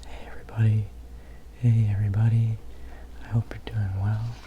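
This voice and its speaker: The speaker is soft-spoken, with noticeable background noise in the recording. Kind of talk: casual ramble to camera about favorite CDs. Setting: ASMR video.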